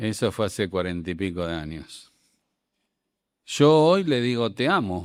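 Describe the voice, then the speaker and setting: With long, frequent pauses, a man speaks at a fairly low pitch in a very clean recording with a silent background. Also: lively intonation. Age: 60s. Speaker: preacher. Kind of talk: sermon. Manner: animated.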